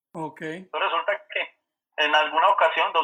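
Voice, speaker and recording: A man's high-pitched voice at a moderate pace. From Colombia, Manizales. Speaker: birding guide. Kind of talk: casual interview chat.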